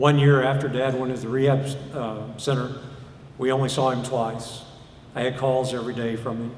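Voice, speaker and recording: A man's medium-pitched voice at a moderate pace, in a monotone, flat intonation, with audible room echo and noticeable background noise. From US South, Arkansas. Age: 60s. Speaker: preacher. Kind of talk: sermon.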